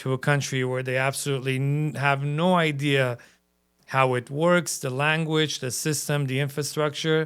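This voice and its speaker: Recorded very cleanly over a silent background, a man with an Armenian accent speaks at a fairly high pitch in a monotone, flat intonation. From Armenia, raised in Los Angeles (Hollywood) from age 7. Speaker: entrepreneur, business owner. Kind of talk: interview podcast. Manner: hesitant, many fillers.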